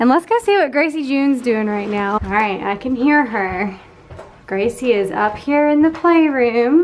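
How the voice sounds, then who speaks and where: A woman with a high pitch talks at a moderate pace in an upbeat tone with lively intonation. Noticeable background noise sits behind her. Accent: Southern US. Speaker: lifestyle vlogger. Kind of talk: casual vlog narration.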